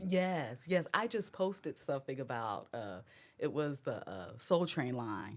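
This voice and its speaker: In a very clean recording with a silent background, a woman with an American accent and a very deep, low pitch speaks at a fairly slow pace with very wide pitch swings. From Texas, Houston. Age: 30s. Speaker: fitness content creator. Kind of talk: casual chat.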